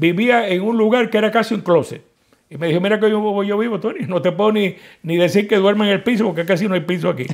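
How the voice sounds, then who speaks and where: A man talks very fast in a high voice with ordinary pitch variation. The background is quiet. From Cuba, Santiago de Cuba; Cuba. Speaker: political activist, Cuban exile; interviewee. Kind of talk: interview. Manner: halting, many repetitions. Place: office. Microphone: lapel.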